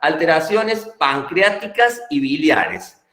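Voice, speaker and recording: A man's high-pitched voice with audible room echo. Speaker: pediatrics lecturer, physician. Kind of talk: lecture. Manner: hesitant, many fillers.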